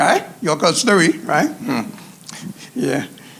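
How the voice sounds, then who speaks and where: A man talks against a backdrop of noticeable noise. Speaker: chef instructor. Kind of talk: cooking demonstration.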